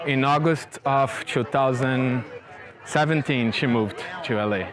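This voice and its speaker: A man's medium-pitched voice at a fairly slow pace, with fairly even intonation and very even loudness, over noticeable background noise. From Rio de Janeiro, Brazil. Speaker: tech industry worker. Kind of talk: interview answer.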